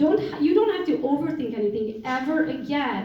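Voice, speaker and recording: A woman with a Romanian accent speaks at a moderate pace, in an animated tone with lively intonation. Audible room echo and noticeable background noise are present. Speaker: real estate entrepreneur and coach. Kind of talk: motivational talk.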